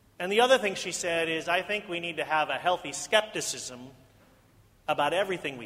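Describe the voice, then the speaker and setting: A man with an American accent talks at a fairly quick pace and high pitch, with lively intonation. Noticeable background noise is present. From US Midwest. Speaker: pastor. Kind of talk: sermon. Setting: church.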